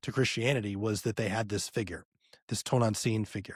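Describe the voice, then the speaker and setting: A man speaks at a fairly quick pace with an American accent. The recording is very clean, with a silent background and a dry, close sound with no echo. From US South, North Louisiana. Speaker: podcast host. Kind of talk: casual interview conversation. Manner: animated.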